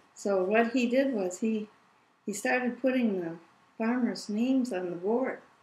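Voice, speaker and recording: At a fairly slow pace, a woman talks in a somewhat breathy, fairly high voice with ordinary pitch variation. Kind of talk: interview answer.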